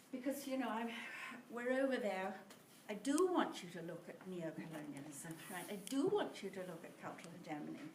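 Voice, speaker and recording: Amid noticeable background noise and audible room echo, a woman speaks at a medium pitch and a fairly quick pace, with very wide pitch swings and big swings in loudness. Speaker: teacher. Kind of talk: lecture. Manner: halting.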